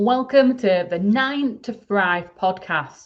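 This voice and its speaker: A woman speaks in a Yorkshire accent. Her intonation is lively. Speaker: podcast host, email marketing expert. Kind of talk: solo podcast talk.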